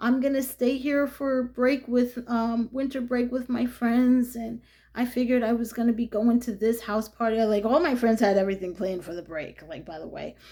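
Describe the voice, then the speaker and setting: In a New York accent, a woman speaks in a high voice with a dark, mellow tone and ordinary pitch variation. She keeps a moderate pace with hardly any pauses, and her loudness swings widely. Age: 50s. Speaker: vlogger. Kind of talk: casual monologue. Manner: animated, chatty with many fillers.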